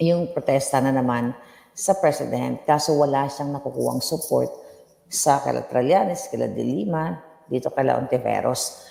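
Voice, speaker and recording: Moderate pace amid noticeable background noise. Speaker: political vlogger. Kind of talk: casual political commentary vlog. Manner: code-switching Taglish, conversational; soft-spoken, lowered voice.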